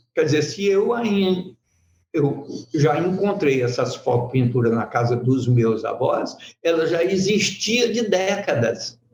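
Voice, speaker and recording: A man with a high voice at a very slow pace, very wide pitch swings and very even loudness, in a room with audible echo. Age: 70s. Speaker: photo-painting master artist. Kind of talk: talk at an art fair workshop. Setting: event with live audience.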